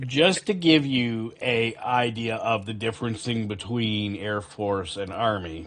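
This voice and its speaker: A man with a normal speaking voice, medium pitch and a fairly slow pace. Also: ordinary pitch variation. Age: 40s. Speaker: gaming streamer and army veteran. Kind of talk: casual chat.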